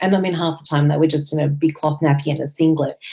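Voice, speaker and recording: A woman speaks with an Australian accent. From Australia, Sydney North Shore. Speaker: farmer. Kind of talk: interview. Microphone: connection dropped out.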